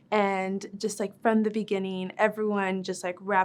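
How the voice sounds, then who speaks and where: A woman with a Spanish accent, medium pitch and a fairly quick pace, on a very clean recording with a silent background. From West Texas, El Paso. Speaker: medical resident. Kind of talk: casual interview testimony.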